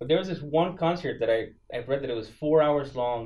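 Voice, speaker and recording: Speaking at a very fast pace, a man delivers the clip. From Colombia. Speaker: touring musician; guest. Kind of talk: interview. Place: studio.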